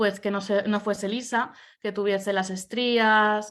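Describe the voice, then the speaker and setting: A woman's monotone, flat voice at medium pitch and a very slow pace, on a very clean recording with a silent background. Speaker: academic researcher. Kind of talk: conference presentation. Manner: hesitant, many fillers.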